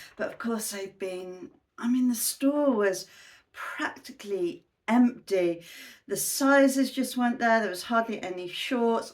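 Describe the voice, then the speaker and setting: A woman with a British accent speaks at a fairly slow pace. Her pitch is fairly high, with ordinary variation. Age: 60s. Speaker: fashion haul vlogger. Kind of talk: casual talk to camera.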